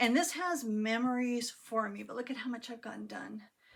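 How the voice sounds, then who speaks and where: A woman's voice with a fairly high pitch. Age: 60s. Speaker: cross stitch vlogger. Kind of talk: casual chat. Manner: halting, many fillers.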